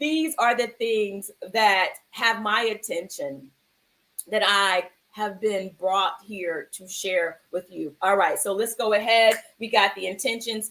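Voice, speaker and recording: A woman at a very slow pace, with very wide pitch swings. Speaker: actor and mindfulness livestream host. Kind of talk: live-streamed mindfulness chat. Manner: loud; animated.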